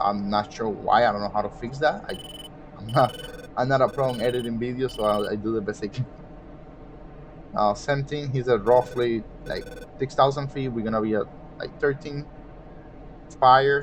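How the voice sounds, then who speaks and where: A man with a non-native accent talks at a moderate pace and medium pitch. He takes long, frequent pauses amid noticeable background noise. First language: not English. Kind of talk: gameplay commentary. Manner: casual, explanatory.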